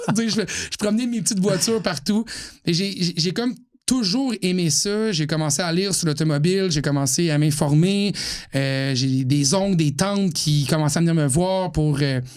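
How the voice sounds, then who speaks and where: A moderate pace in a Quebec accent, with lively intonation and very even loudness. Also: man, high pitch for a man. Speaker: automotive journalist. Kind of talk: podcast interview. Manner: clear diction, radio-trained.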